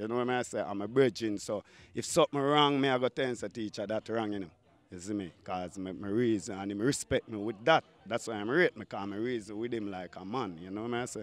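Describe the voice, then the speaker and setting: Talking at a very fast pace, a man uses a fairly low pitch with ordinary variation. The sound is dry, with no echo. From Jamaica. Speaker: dancehall artist; interviewee. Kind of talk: casual interview; interview answer. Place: waterside. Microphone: handheld.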